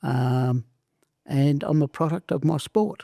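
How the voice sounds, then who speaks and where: A man's dark, mellow voice with lively intonation, in a very clean recording with a silent background and a dry, close sound with no echo. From southern Italy, raised in Australia from age seven. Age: 70s. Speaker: former wrestler and entrepreneur. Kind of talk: interview.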